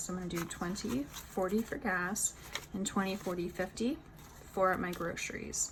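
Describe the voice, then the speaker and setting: Amid noticeable background noise, a woman with an American accent speaks with ordinary pitch variation. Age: 20s. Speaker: budgeting vlogger. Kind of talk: tutorial. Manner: casual, conversational.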